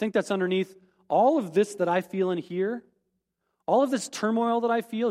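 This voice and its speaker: A man's voice with ordinary pitch variation comes through in a dry, close sound with no echo. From US Midwest (rural South Dakota). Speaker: pastor. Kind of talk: sermon.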